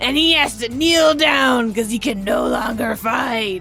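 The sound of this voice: Clear music plays behind a breathy, put-on character voice.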